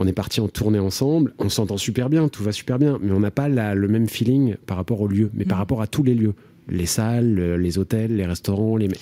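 With very even loudness, a man speaks in a dark, mellow tone at fairly low pitch with ordinary pitch variation. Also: moderate pace. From France, Nièvre (rural Burgundy). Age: 40s. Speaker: comedian and actor. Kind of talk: interview. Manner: hesitant, many fillers.

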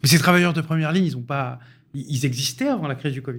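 A man speaks at a fairly quick pace with a fairly high pitch and ordinary pitch variation, sounding somewhat breathy. The recording is very clean, with a silent background. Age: 40s. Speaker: housing policy expert. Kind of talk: radio panel discussion.

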